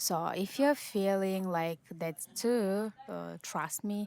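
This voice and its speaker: Very slowly and with fairly even intonation, a woman speaks on a very clean recording with a silent background. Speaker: Salesforce admin and online course creator. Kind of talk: casual vlog talk to camera. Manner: halting, many fillers.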